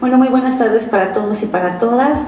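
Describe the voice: Her voice is fairly high for a woman, with a dark, mellow tone and a fairly quick pace. The room echo is audible. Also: ordinary pitch variation.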